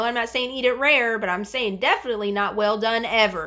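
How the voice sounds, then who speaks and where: A woman speaks with a bright, sharp, animated tone at a fairly high pitch, using ordinary pitch variation. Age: 40s. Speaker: bariatric surgery vlogger. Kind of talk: livestream chat reading viewer comments. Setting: live stream.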